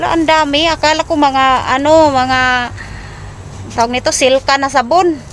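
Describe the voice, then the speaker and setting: With a high voice and a moderate speed, a woman talks as noticeable background noise carries on. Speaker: vlogger doing charity visits. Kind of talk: casual interview. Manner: animated.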